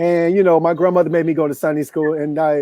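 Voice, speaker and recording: A man's high-pitched voice at a very fast pace. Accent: American. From US South, Memphis, Tennessee. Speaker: life coach. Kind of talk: interview storytelling.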